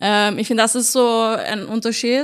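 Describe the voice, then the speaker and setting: Her intonation monotone and flat, a woman speaks in a fairly high pitch. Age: 30s. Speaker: stand-up comedian. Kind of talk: casual chat.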